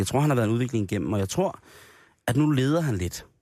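This man's delivery is very fast, with ordinary pitch variation. The background is silent and the recording very clean. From Denmark, Grenå area. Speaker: radio host. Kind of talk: casual chat.

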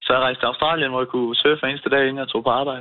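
A man with a mid-range voice talks very rapidly. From Denmark, Svendborg (Funen). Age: 20s. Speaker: fishmonger. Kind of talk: phone interview. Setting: phone call.

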